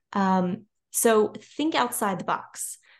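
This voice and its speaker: Against a quiet background, a woman with a Louisiana accent speaks in a medium pitch with lively intonation. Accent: Louisiana Southern US. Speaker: children's and nonfiction author. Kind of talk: casual interview chat.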